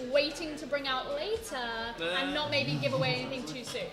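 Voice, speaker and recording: High female voice with noticeable background noise. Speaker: esports shoutcaster. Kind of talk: live esports commentary.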